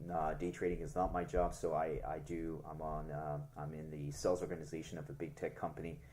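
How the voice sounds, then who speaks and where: A man's very deep, low voice, dark and mellow in tone, monotone and flat, at a fairly quick pace with hardly any pauses, in audible room echo. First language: French. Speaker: crypto YouTuber, tech sales worker. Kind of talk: casual market analysis vlog. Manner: hesitant, many fillers.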